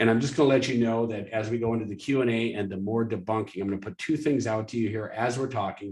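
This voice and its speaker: Against a quiet background, a man speaks very fast in a somewhat breathy, medium-pitched voice with fairly even intonation. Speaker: webinar host for a fundraising software company. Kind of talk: live webinar presentation with sales pitch. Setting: live webinar.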